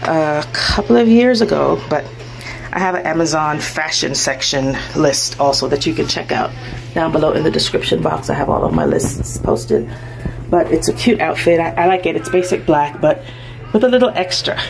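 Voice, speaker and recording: The woman keeps a moderate tempo while clear background noise carries on around her. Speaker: vlogger. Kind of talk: casual vlog chat. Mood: cheerful, relaxed. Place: shop. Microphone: phone near.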